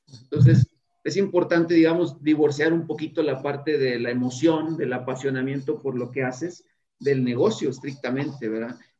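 A man with a fairly high pitch speaks in a dark, mellow tone with ordinary pitch variation. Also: moderate pace. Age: 40s. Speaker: tech business owner. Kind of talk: interview.

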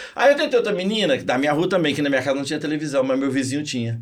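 There's a man talking. Behind his voice, background noise is noticeable. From Minas Gerais, Brazil (Zona da Mata). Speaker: physics teacher and motivational speaker. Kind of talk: interview. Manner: animated.

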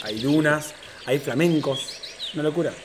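Noticeable background noise sits behind a man with an Argentine accent. His pitch is fairly high and his pace moderate. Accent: Rioplatense Argentine Spanish. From Argentina, Tandil (Buenos Aires province). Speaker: content creator. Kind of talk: casual chat. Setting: home apartment recording.

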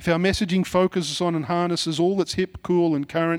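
A man with a strong Australian accent talks at a very fast pace, the sound dry and close with no echo on a very clean recording with a silent background. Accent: broad Australian. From Sydney, Mount Druitt (western Sydney), Australia. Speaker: pastor. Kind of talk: sermon. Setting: church. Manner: casual, conversational with fillers.

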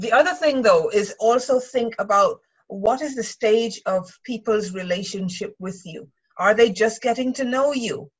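A somewhat breathy woman with fairly high pitch, ordinary pitch variation, big swings in loudness and a moderate pace. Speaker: writer and writing mentor. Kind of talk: casual chat. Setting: video call.

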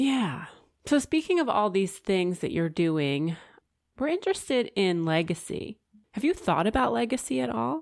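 A woman speaks at a moderate pace with very wide pitch swings in a very clean recording with a silent background. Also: medium pitch for a woman. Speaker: podcast co-host. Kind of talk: casual interview.

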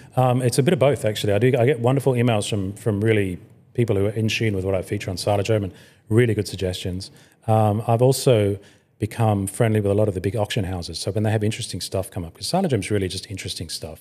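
A man talks at a very fast pace in a dark, mellow tone with ordinary pitch variation. The recording is very clean and the background silent. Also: fairly low pitch for a man. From Hong Kong. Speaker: motoring website founder and editor. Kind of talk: interview.

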